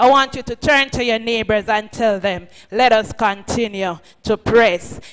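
Light background noise sits under the audio. The speaker is a woman. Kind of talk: sermon-style address. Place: hall. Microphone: podium.

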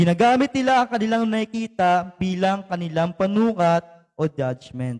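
A high-pitched man with a Filipino accent, lively intonation, and a moderate pace, in a dry, close sound with no echo. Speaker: preacher. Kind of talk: sermon with fervent proclamation prayer and blessing. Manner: fervent, emphatic, rising intensity with repeated amens; code-switching between Tagalog and English.

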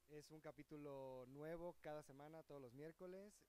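In a dry sound with no echo, a man speaks at a fairly slow pace with a fairly high pitch, ordinary pitch variation and a dark, mellow tone. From Mexico, Cancún. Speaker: comedic stage actor. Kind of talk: casual interview. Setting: outdoors outside a theater. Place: street. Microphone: handheld.

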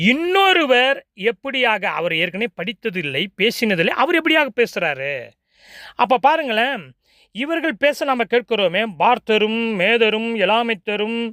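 With very wide pitch swings, a man projects a raised voice at an extremely high pitch in a dry, close recording with no echo. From South India, Tamil-speaking. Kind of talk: sermon.

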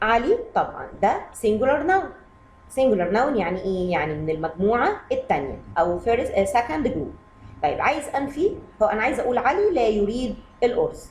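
Talking at a fairly quick pace in an Egyptian accent, a woman uses very wide pitch swings around a high pitch. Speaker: English teacher for kids. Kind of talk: lesson. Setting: video lesson.

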